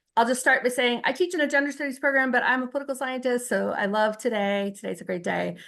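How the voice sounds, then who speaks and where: A woman talks at a very fast pace with a high pitch and hardly any pauses. Her pitch varies in an ordinary way. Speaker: union vice president and college teacher. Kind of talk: meeting presentation.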